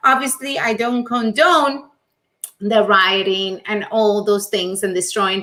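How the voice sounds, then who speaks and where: A woman with a Latin American accent, a bright, sharp tone, fairly high pitch and ordinary pitch variation, at a very slow pace. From Venezuela. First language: Spanish. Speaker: life coach and show host. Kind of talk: live stream monologue. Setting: live stream.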